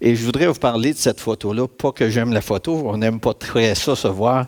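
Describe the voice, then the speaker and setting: A man with a Quebec accent, medium pitch, ordinary pitch variation and a moderate pace, in a dry, close sound with no echo. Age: 60s. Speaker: church speaker giving testimony. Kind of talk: testimony.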